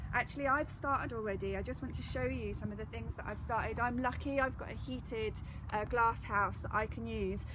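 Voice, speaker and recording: Speaking at a fairly quick pace in an English accent, a woman is heard with audible room echo. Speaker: gardening educator. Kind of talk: live gardening demonstration. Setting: outdoors in a garden, live stream. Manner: loud.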